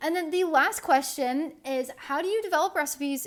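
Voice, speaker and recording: With an American accent, a woman talks at a moderate pace and with lively intonation. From northeastern Indiana, US Midwest. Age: 20s. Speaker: podcast host and food blogger. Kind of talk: casual Q&A podcast monologue. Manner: casual, filler-heavy.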